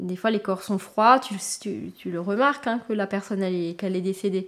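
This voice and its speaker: On a very clean recording with a silent background, a woman talks at a moderate pace with medium pitch and ordinary pitch variation. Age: 30s. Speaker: nursing assistant in a care home. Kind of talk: documentary interview.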